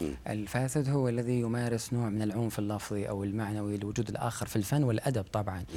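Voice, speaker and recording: A man's fairly low, dark, mellow voice at a fairly quick pace with hardly any pauses. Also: fairly even intonation. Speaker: literary critic and academic. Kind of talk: interview.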